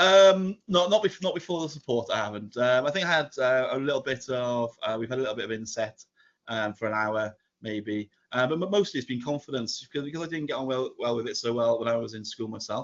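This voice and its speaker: Lively intonation from a man with a Welsh accent at a fairly quick pace. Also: medium pitch for a man. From Wales. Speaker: primary school teacher. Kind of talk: podcast interview. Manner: halting.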